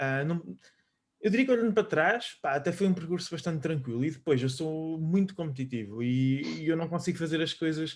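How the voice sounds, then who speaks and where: This speaker talks at a fairly quick pace in a European Portuguese accent. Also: man. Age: 20s. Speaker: fitness coach. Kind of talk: casual chat.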